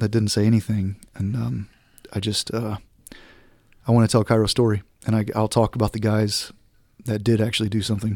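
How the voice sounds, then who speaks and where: With an American accent, a man talks very fast in a fairly low, flat monotone, captured in a very clean, dry, close recording with a silent background and no echo. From Southeast Texas. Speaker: war veteran, former Navy SEAL dog handler. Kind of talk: interview, recounting experiences. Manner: casual.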